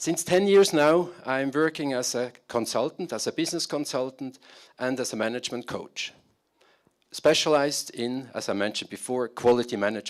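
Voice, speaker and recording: A man's medium-pitched voice with a German accent and ordinary pitch variation, in a very clean recording with a silent background. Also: moderate pace. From Switzerland. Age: 50s. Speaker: business consultant. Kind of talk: conference talk. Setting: stage with audience. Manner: halting.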